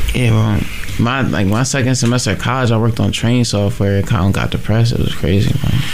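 A man speaks at a very fast pace with medium pitch and ordinary pitch variation. His loudness stays very even, with noticeable background noise behind him. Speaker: radio co-host. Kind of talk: casual chat. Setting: studio.

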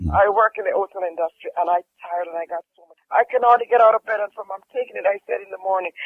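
A man with a Jamaican accent talks at a very fast pace in a high pitch. His intonation stays fairly even while his loudness swings widely. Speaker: caller, hotel worker giving a testimonial. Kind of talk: testimony.

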